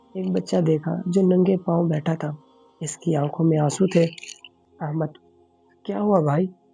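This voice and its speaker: Over music in the background, a man talks at a fairly high pitch with ordinary pitch variation. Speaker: voice-over artist. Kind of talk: children's moral story narration.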